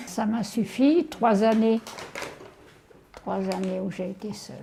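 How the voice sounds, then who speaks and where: A woman talks very slowly in a medium pitch, her pitch varying in an ordinary way, while noticeable background noise runs underneath. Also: big swings in loudness. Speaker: elderly host of a student lodger. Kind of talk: casual chat.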